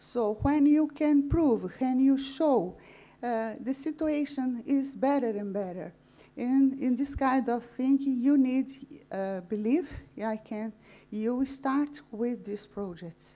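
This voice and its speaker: A woman speaks very slowly in a high voice. Her tone is dark and mellow. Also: ordinary pitch variation. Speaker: tobacco control advocate. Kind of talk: conference presentation and Q&A. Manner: halting.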